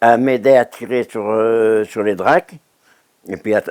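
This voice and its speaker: In a very clean recording with a silent background and a dry, close sound with no echo, a man speaks at a medium pitch with ordinary pitch variation. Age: 90s. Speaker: retired oyster fisherman. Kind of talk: oral history testimony. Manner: halting, many hesitations and repetitions.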